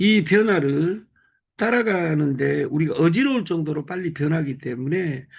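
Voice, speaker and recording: A normal speaking voice moves at a fairly slow pace. The intonation is lively. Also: man. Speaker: business group leader. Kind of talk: motivational talk. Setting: live video call.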